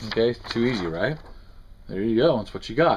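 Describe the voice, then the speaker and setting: Light background noise sits behind a man speaking at a fairly quick pace. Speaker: costume prop maker. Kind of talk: tutorial. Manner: fast; halting. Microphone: phone near.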